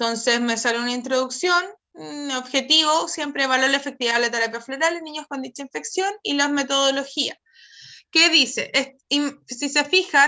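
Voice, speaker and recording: The woman's high voice shows ordinary pitch variation and a moderate pace. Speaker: psychologist presenting research. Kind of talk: webinar presentation.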